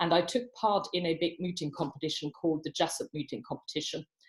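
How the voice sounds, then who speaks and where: A somewhat breathy woman with a fairly low pitch and a slight non-native accent talks at a very fast pace. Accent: slight foreign. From abroad, non-Commonwealth country. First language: not English. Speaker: barrister. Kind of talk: panel talk at online professional event.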